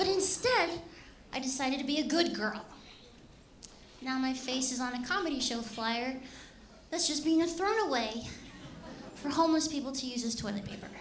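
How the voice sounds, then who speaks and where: A high-pitched woman with an American accent at a moderate pace, with lively intonation, long, frequent pauses, audible room echo and noticeable background noise. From Los Angeles, California. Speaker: comedian. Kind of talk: stand-up. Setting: stage with audience.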